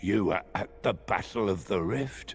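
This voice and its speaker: Growling at a fairly low pitch, a man uses a put-on character voice at a moderate pace. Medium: video game.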